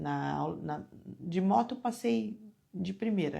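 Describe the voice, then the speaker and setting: Soft-spoken and somewhat breathy, a woman talks with a dark, mellow tone. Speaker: devotional speaker. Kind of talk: devotional talk. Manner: animated.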